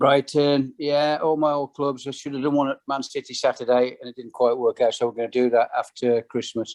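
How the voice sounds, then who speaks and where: A fairly high-pitched man talks at a fairly quick pace with hardly any pauses, in a monotone, flat intonation, with a dry, close sound and no echo. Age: 70s. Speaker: former football player and manager. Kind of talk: podcast interview answer.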